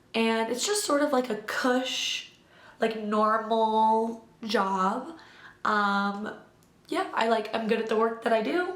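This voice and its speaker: Audible room echo follows a woman with a Midwestern American accent as she speaks very slowly at a fairly high pitch, with ordinary pitch variation and very even loudness. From US Midwest, Illinois. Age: 20s. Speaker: vlogger. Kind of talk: casual chat. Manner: rambling casual with fillers.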